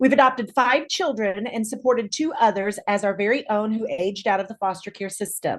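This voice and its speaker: An unremarkable speaking voice with an American accent, fairly quick and with hardly any pauses, showing ordinary pitch variation. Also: woman, fairly high pitch for a woman. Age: 60s. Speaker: clinical social worker. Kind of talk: prepared statement read aloud. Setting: video call.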